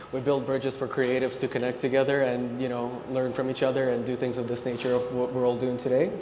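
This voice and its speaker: A man at a very fast pace with hardly any pauses, medium pitch and monotone, flat intonation, amid noticeable background noise and audible room echo. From Ukraine. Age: 30s. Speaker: creative director. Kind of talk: panel discussion.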